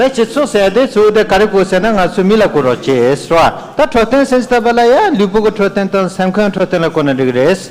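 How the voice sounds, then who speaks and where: Over noticeable background noise, a man speaks at a very fast pace in a high pitch with lively intonation. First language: Tibetan. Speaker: interpreter. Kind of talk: live interpreting.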